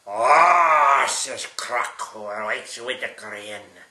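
A man speaks at a very slow pace with a fairly high pitch. Room echo is audible. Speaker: great-grandfather reading to a child. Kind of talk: bedtime story reading aloud to a small child, with sound effects. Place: home room. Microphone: camera far.

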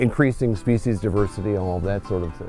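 With faint music in the background and a dry sound with no echo, a man speaks very fast at a fairly low pitch with ordinary pitch variation. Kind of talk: interview answer. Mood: warm, concerned about decline. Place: garden. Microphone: lapel.

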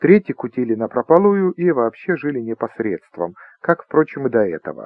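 At a moderate pace, a man with a fairly high voice speaks in very wide pitch swings. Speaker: audiobook narrator. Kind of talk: audiobook reading of a humorous short story, narrated with an ironic, storytelling tone.

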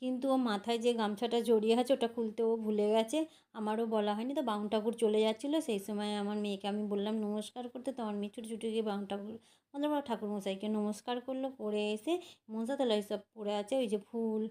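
Fairly high-pitched with a dark, mellow tone, the woman speaks with fairly even intonation. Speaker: home vlogger. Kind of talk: vlog narration. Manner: halting.

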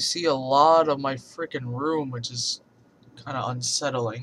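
A man's amused tone at medium pitch, moderate pace and fairly even intonation, over noticeable background noise. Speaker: vlogger. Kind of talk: casual talk to camera. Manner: rambling, profane, amused. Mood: playful, amused, exclaiming. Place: home room. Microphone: webcam.

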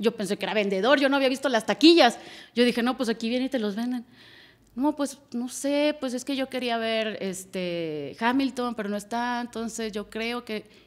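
The woman's pitch sits fairly high, with ordinary variation. She talks at a moderate pace. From Monterrey, northern Mexico; Mexico. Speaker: music booker and marketing director; podcast guest. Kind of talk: casual chat. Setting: studio. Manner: animated. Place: studio. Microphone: studio mic.

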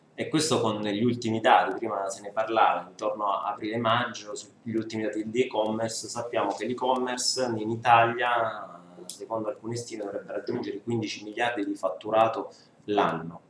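Fairly low-pitched and fairly bright in tone, a man talks at a moderate pace with fairly even intonation.

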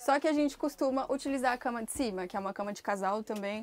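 A woman talks at a very fast pace. Her pitch rises and falls in an ordinary way. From Brazil, Brasília; Brazil. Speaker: motorhome traveler. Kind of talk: casual chat. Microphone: lapel.

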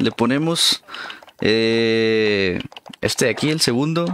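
A man speaks with very wide pitch swings. Noticeable background noise can be heard. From Mexico, Durango. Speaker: gaming streamer. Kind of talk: live gameplay stream commentary. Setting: live stream, home setup. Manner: animated.

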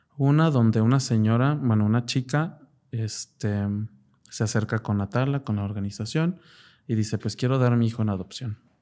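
On a very clean recording with a silent background, a man speaks at a moderate pace with a medium pitch, a dark, mellow tone, and ordinary pitch variation. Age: 20s. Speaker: psychologist. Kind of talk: personal testimony interview.

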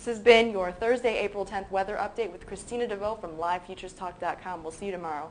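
A woman at a very fast pace with fairly even intonation, light background noise behind her. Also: big swings in loudness. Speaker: weather reporter for a commodity futures site. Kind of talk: scripted daily weather update read aloud. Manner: brisk reading with stumbles and repeated words; urgent warning tone, repeating watch out for this. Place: studio.

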